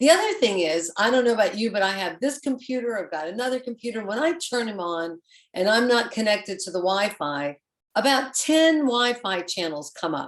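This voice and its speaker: A woman talks in an American accent at a fairly quick pace. Her pitch swings very widely. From Florida. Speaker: panel member. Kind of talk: panel discussion.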